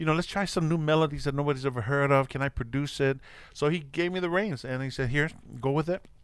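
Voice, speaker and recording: A man's fairly high-pitched, very fast speech with an American accent. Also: ordinary pitch variation, very clean recording, silent background. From Orange County, California. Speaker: musician. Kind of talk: casual chat.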